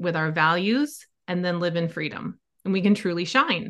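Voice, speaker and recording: A woman with an unremarkable speaking voice talks at a medium pitch against a quiet background. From US Midwest, Wisconsin. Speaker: life coach. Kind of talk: interview conversation.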